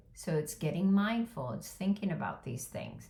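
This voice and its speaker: A woman speaks with lively intonation and a somewhat breathy quality. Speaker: caregiver life coach. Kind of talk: motivational talk to camera.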